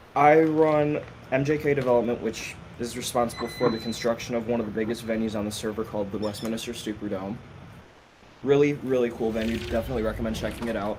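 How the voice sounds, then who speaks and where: A medium-pitched man talks at a very fast pace with fairly even intonation, with audible room echo and noticeable background noise. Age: 20s. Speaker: guest, game server builder. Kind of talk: casual podcast chat.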